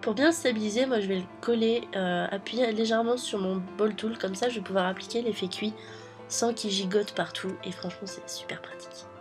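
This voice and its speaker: The tone is upbeat. Music plays in the background. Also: woman, medium pitch for a woman, ordinary pitch variation, moderate pace. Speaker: polymer clay miniature artist. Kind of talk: craft tutorial voice-over. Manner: upbeat, casual.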